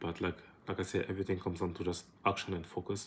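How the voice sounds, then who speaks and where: Here a man talks in a very deep, low voice. His intonation is fairly even. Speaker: entrepreneur vlogger. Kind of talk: casual vlog monologue. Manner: fast; hesitant, many fillers.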